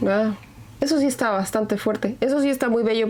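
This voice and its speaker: A woman speaks with a fairly high pitch and fairly even intonation. Noticeable background noise runs underneath. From Mexico. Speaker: podcast host. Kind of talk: casual chat.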